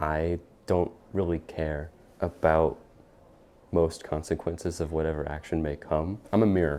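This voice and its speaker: This man has a very deep, low pitch and a dark, mellow tone. His intonation stays fairly even. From Texas. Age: 20s. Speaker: college student, student club treasurer. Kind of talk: documentary interview and casual chat.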